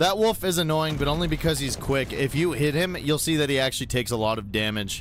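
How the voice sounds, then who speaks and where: Talking very fast with hardly any pauses, a man with a fairly high voice speaks over noticeable background noise. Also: lively intonation. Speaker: gaming streamer. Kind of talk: live gameplay commentary. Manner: stuttering a little; animated.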